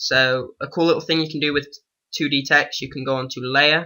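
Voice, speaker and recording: A man's medium-pitched voice, bright and sharp, with fairly even intonation at a moderate pace. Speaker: youtuber. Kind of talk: tutorial.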